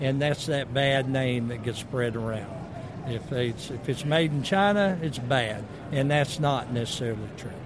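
Over noticeable background noise and audible room echo, a man with a Southern US accent speaks at a moderate pace, with medium pitch and ordinary pitch variation. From US South. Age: 60s. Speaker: motorcycle company representative. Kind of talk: booth interview. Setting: expo booth.

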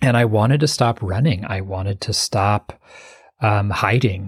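Fairly low in pitch and somewhat breathy, a man speaks at a fairly slow pace with ordinary pitch variation. The sound is dry and close with no echo, in a very clean recording with a silent background. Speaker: meditation teacher and author. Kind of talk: interview, conversational.

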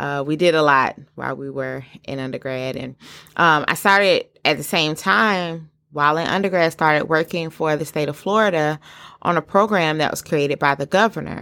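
With a Southern US accent, a woman with a very deep, low pitch and a bright, sharp tone talks at a moderate pace with ordinary pitch variation in a very clean recording with a silent background. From US South. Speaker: podcast host. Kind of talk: solo podcast monologue. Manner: animated.

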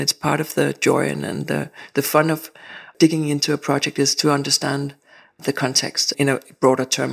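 Here a woman speaks with a Danish accent at a moderate pace. The recording is very clean, with a silent background. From Denmark. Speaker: architect. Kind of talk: interview. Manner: halting.

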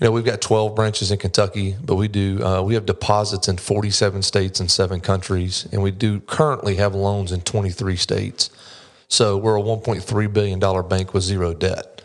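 In a North Carolina accent, a man with a fairly low pitch talks at a moderate pace with fairly even intonation. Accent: US Southern (North Carolina). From North Carolina, Mocksville. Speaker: commercial loan officer, former police officer. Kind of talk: casual interview. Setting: studio.

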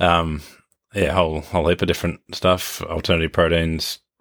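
In an Australian accent, a man speaks at a moderate pace in a very deep, low, monotone voice with flat intonation, the sound dry and close with no echo on a very clean recording with a silent background. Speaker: podcast host and agribusiness CEO. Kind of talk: casual interview. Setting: on location at a farm in New Zealand.

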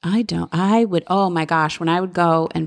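A woman speaks with an unremarkable speaking voice. Her pitch is fairly low and her intonation fairly even. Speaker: podcast co-host.

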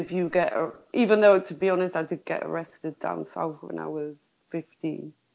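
With a Liverpool accent, a woman talks at a fairly slow pace. Her pitch is fairly low. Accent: Scouse. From Liverpool, England. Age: 40s. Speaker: survivor of prostitution, campaigner. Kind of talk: interview testimony.

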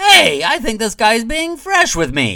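Putting on a character voice, a man projects at an extremely high pitch with very wide pitch swings. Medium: read story. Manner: sly, theatrical.

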